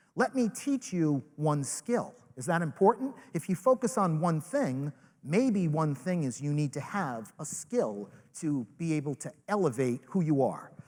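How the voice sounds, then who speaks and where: A man with a Rhode Island accent and a fairly high pitch speaks at a moderate pace with very wide pitch swings. The recording is very clean, with a silent background. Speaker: network marketing leader, motivational speaker. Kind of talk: motivational speech. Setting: stage with live audience. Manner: animated.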